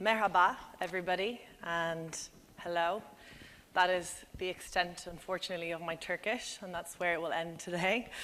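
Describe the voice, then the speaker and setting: Speaking with an Irish accent, a woman has a fairly low pitch and a bright, sharp tone. Her pace is moderate and her intonation fairly even. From Ireland. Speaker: business development director, conference speaker. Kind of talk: conference presentation.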